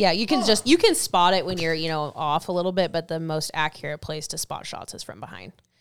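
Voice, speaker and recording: A woman's fairly low voice with an American accent, a normal speaking voice at a fairly quick pace, with hardly any pauses, ordinary pitch variation and big swings in loudness, in a very clean recording with a silent background. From Washington State, Stanwood. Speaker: firearms industry sales manager and long-range shooter. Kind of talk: casual chat. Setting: studio.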